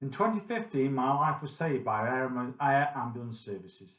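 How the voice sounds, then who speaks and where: A man with a Staffordshire accent speaks at a moderate pace. His medium-pitched voice swings very widely in pitch. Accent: English Midlands (Potteries). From central England, Stoke-on-Trent. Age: 50s. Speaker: retired IT consultant, charity volunteer. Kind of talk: personal testimony, prepared talk. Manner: measured, formal.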